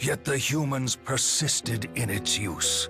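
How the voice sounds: A man's put-on character voice, bright and sharp in tone with vocal fry, medium in pitch with ordinary variation, slow in pace, faint music in the background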